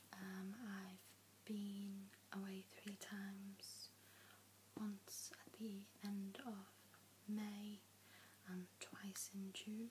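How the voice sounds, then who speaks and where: A soft-spoken woman whispers very slowly, with long, frequent pauses and very even loudness. Noticeable background noise can be heard. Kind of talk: ASMR Q and A, soft spoken talk to camera. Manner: soft-spoken, whispering.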